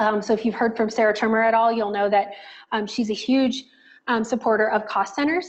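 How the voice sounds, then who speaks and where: The intonation stays fairly even while the loudness holds very even throughout. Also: woman, fairly high pitch for a woman, fairly quick pace. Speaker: software trainer. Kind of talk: tutorial. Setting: video call. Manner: fast.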